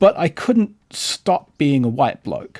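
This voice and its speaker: A man speaks with a New Zealand accent. The sound is dry and close, with no echo. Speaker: podcast host. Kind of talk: casual chat.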